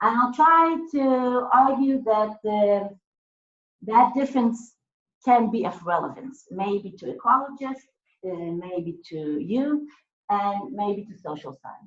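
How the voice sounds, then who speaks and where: The speech comes at a very slow pace with lively intonation and big swings in loudness. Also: woman, fairly high pitch for a woman. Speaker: academic speaker. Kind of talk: lecture. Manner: hesitant, many fillers.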